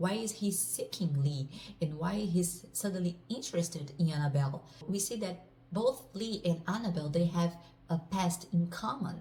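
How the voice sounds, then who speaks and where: A woman with a Portuguese accent speaks at a moderate pace in a fairly low, somewhat breathy voice with a dark, mellow tone and ordinary pitch variation. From Brazil. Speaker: author. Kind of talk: casual self-introduction and book overview.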